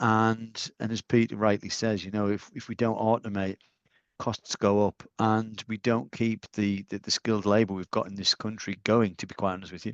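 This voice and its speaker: In a Northeast English accent, a man with a fairly low pitch talks at a moderate pace in a dry, close sound with no echo and a quiet background. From Northeast England. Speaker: industry panelist. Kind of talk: webinar panel discussion.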